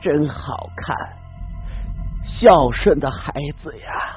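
Faint music plays behind a man doing a put-on character voice at a very slow pace. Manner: eerie.

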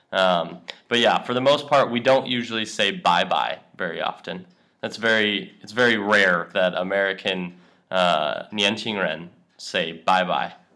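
Speaking at a fairly slow pace, a man with a fairly low pitch and a bright, sharp tone shows ordinary pitch variation and big swings in loudness. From USA. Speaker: English teacher. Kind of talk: language lesson chat. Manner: casual with many fillers.

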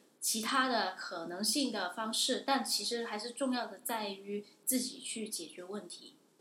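Amid noticeable background noise, a woman speaks at a fairly slow pace with hardly any pauses, ordinary pitch variation and big swings in loudness. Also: fairly high pitch for a woman. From Guangdong, China. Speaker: international student. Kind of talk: interview. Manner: hesitant, many fillers.

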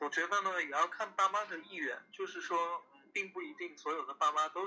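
Here a man speaks at a moderate pace. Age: 30s. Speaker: guest on podcast. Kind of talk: casual chat.

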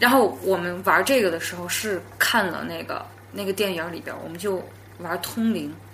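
Amid noticeable background noise, a woman with a fairly low pitch and ordinary pitch variation speaks at a moderate pace, with big swings in loudness. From Yunnan, China. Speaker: podcast guest telling supernatural stories. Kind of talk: storytelling in casual interview. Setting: in the same room as host.

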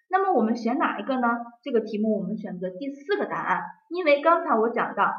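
The speech runs at a fairly quick pace with very wide pitch swings. Room echo is audible. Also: woman. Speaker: exam prep teacher. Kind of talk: lecture.

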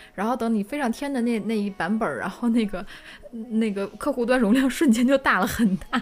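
This woman talks at a very fast pace with a fairly high pitch. Her pitch varies in an ordinary way. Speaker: podcast co-host. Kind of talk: casual chat. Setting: studio live stream.

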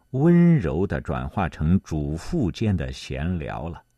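With a dark, mellow tone and very wide pitch swings, a man is heard in a dry, close sound with no echo over a quiet background. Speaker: podcast narrator. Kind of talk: scripted history documentary narration, read aloud in a solemn, measured tone. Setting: studio. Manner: steady, even-paced and formal, clearly enunciated; lifts slightly for quoted lines.

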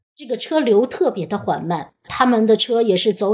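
A woman talks at a moderate pace in a normal speaking voice. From northern China. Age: 40s. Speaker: Chinese language school operator. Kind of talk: personal storytelling.

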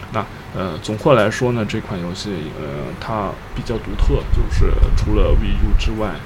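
Speaking at a moderate pace in a fairly low pitch, the man uses lively intonation and big swings in loudness, with audible room echo and noticeable background noise. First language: Chinese. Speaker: podcast host and interpreter. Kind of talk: interview interpretation and casual chat.

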